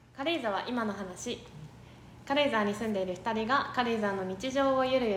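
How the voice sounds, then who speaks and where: Audible room echo surrounds a woman speaking at a moderate pace in a fairly high pitch with lively intonation. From Tokyo, Japan. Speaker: podcast co-host and bar manager. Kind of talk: casual chat.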